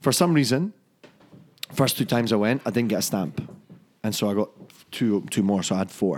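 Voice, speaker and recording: Speaking at a fairly quick pace with lively intonation, a man with a fairly low pitch leaves long, frequent pauses. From Scotland, Fife (Dunfermline). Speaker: whisky brand ambassador. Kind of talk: casual chat.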